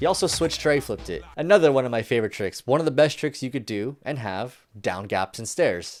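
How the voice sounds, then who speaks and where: A man talks at a fairly quick pace with ordinary pitch variation, in a plain, everyday voice. The recording is very clean, with a silent background. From Canada. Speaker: skateboarding video commentator. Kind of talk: casual video commentary. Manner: casual, informal.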